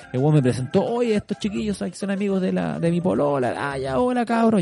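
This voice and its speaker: A man talking at a fairly quick clip, his pitch swinging very widely, with noticeable noise behind him. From Chile, Santiago. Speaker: podcast host. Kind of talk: scripted narration; casual chat.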